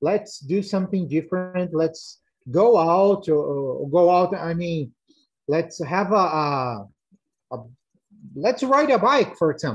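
A man with a Portuguese accent speaks very slowly in a high voice, with lively intonation and long, frequent pauses. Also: quiet background. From Brazil. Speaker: parent panelist. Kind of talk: online panel discussion. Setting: video call. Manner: halting. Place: home room. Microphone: video call.

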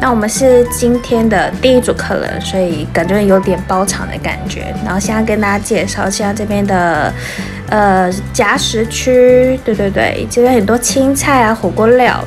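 A woman talks fairly slowly. Clear music can be heard behind her. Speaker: food vlogger. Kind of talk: casual vlog chat. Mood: cheerful, excited. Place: cafe. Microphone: phone near.

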